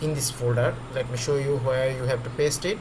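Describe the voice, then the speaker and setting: The delivery is monotone and flat, at a moderate pace. Noticeable background noise and audible room echo fill the recording. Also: man. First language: not English. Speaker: trading tutorial creator. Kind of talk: screen-recorded tutorial. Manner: halting, with many fillers.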